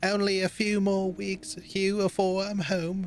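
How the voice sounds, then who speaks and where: Someone in a put-on character voice talks at a fairly slow pace with a middle pitch. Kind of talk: archaic.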